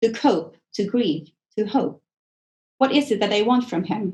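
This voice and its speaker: The pace is moderate and the pitch varies in an ordinary way, with a somewhat breathy quality and a dark, mellow tone. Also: woman. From Sweden. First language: Swedish. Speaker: author. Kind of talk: author reading from own novel.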